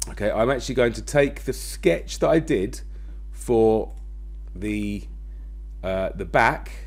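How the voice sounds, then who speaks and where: With audible room echo, a man talks in long, frequent pauses. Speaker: design and technology teacher. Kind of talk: tutorial. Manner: fast.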